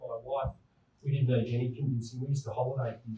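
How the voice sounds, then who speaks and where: The voice has a dark, mellow tone and is somewhat breathy. Its intonation is monotone and flat, at a fairly quick pace. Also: man. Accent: slight New South Wales. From New South Wales, Australia. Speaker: town planner. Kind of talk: presentation.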